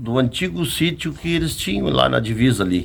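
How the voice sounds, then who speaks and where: A man is speaking. His pitch swings very widely. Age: 60s. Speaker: rancher telling family stories. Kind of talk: casual interview.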